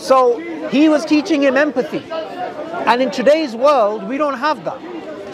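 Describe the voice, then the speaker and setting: A man with an extremely high pitch and lively intonation at a moderate pace, dry sound with no echo, crowd noise in the background. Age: 30s. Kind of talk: debate. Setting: outdoors. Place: garden.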